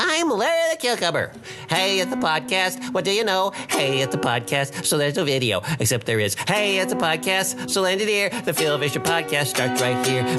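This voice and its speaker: Loud music plays behind a put-on character voice at middle pitch. The delivery keeps a moderate pace. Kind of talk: articulate, no lisp. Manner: crisp, intelligent.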